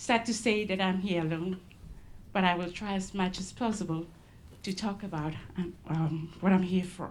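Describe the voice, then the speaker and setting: There is audible echo in the room. The intonation stays fairly even. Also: woman, medium pitch for a woman, moderate pace. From Solomon Islands, Malaita. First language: Solomon Islands local language. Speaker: conservation ranger. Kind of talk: conference presentation. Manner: halting, many fillers.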